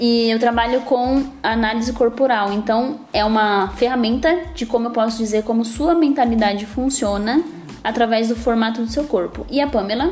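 With music in the background, a woman speaks at a moderate pace and a fairly high pitch, with ordinary pitch variation. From São Paulo, Brazil (Capão Redondo). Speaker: body analysis coach and podcast co-host. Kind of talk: casual chat.

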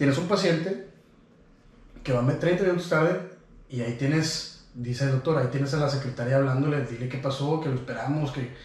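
A man speaks in a Mexican accent amid noticeable background noise and audible room echo. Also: fairly high pitch for a man, ordinary pitch variation, fairly quick pace. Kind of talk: casual chat.

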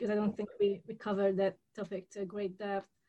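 The speaker is a woman. She talks with a Hungarian accent. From Hungary. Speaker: podcast host. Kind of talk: interview.

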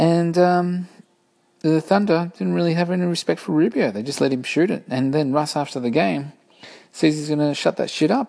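A man with an Australian accent and a dark, mellow tone. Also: fairly high pitch for a man, ordinary pitch variation, moderate pace. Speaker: podcast host. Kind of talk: casual solo commentary. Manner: animated.

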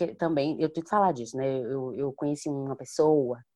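A woman speaks with a dark, mellow tone. Her pace is moderate, and the background is quiet. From Salvador, Bahia, Brazil. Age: 20s. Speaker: singer. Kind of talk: casual chat.

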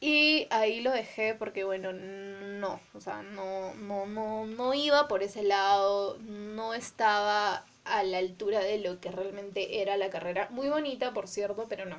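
An ordinary speaking voice from a woman, medium in pitch, at a fairly slow pace with hardly any pauses and ordinary pitch variation. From Peru, Arequipa. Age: 20s. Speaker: podcast co-host. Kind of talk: casual chat.

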